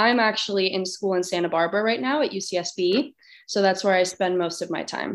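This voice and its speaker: A woman with a Californian accent, medium pitch, ordinary pitch variation, a moderate pace and a quiet background. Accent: Californian American. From Los Angeles, California (Glendale). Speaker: college student and anti-bullying speaker. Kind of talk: interview.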